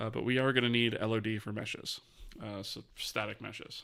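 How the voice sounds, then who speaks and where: A man's bright, sharp voice at medium pitch, with monotone, flat intonation. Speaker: game engine developer streamer. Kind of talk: live-streamed coding tutorial. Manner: fast; mumbling.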